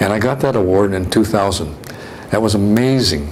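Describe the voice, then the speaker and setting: There is audible room echo and noticeable background noise. Through it, a man with an American accent speaks at a fairly low pitch. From California. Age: 70s. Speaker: retired physician. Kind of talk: interview reminiscence. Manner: halting, many repetitions and fillers.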